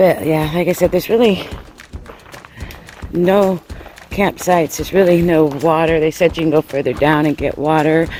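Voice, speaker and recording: The speech moves at a moderate pace, broken by long, frequent pauses, with noticeable background noise throughout. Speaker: hiking vlogger. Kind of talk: casual vlog narration. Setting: outdoors on trail.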